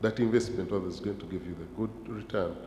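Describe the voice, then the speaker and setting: Somewhat breathy and dark, mellow in tone, a man's fairly low voice holds a fairly even intonation amid audible room echo. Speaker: pension regulator panelist. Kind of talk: conference panel discussion.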